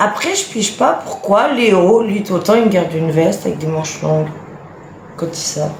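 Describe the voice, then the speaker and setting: A woman's medium-pitched voice at a moderate pace, with ordinary pitch variation, audible room echo and noticeable background noise. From France, Franche-Comté (Lons-le-Saunier). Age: 30s. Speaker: influencer, mother of nine. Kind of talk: casual live stream chat. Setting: live video stream at home.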